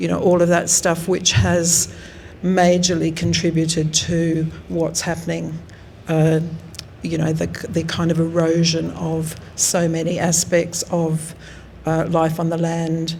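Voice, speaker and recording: A woman with an Australian accent speaks slowly-ish in a fairly low voice with monotone, flat intonation. Room echo is audible. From South Australia, Riverland. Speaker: artist. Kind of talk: artist talk. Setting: gallery with audience. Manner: hesitant, many fillers.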